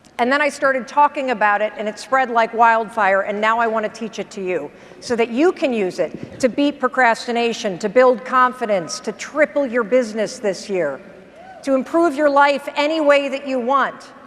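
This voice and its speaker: A woman with an American accent speaks at a moderate pace in a high pitch, her intonation lively. Her tone is energetic, and there is noticeable background noise. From US Midwest. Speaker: motivational speaker. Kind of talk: keynote speech. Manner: energetic, no-nonsense.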